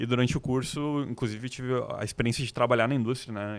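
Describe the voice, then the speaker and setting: With a southern Brazilian accent, a man talks at a fairly quick pace in a medium pitch, his intonation fairly even. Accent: gaúcho. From Rio Grande do Sul, Brazil (Novo Hamburgo). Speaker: designer. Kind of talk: podcast interview.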